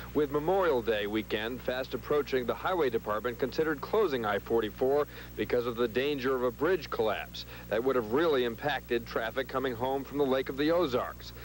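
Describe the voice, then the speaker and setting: Light background noise sits under a dry recording with no echo. A man speaks at a fairly quick pace. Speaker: TV field reporter. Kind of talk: live news report. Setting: outdoors.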